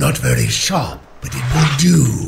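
Growling in a put-on character voice, a man speaks at a fairly slow pace and medium pitch over clear background noise. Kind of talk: gameplay commentary. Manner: gruff, growling. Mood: relaxed, mildly critical.

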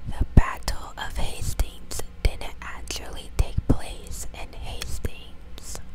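The woman whispers her words at a very slow pace. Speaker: ASMR creator. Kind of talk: ASMR fact reading. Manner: whispered; soft, close to the microphone. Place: home room. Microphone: lapel.

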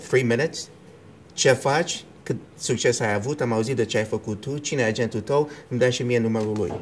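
Light background noise sits under a man talking at a moderate pace with ordinary pitch variation. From New York, USA (left Romania as a child). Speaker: actor and film producer; interviewee. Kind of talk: casual interview; interview answer. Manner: code-switching, hesitant. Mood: relaxed, reflective. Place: home room. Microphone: lapel.

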